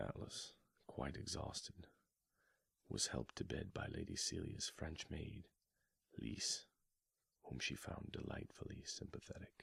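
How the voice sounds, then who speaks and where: A soft-spoken man whispering at a fairly slow pace, with long, frequent pauses. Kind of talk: ASMR book reading. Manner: soft-spoken, whispered.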